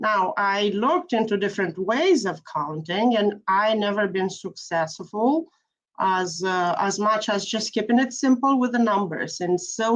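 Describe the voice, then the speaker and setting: Speaking at a moderate pace with hardly any pauses, a woman with a non-native accent uses a medium pitch and ordinary pitch variation. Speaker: piano teacher. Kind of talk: panel discussion.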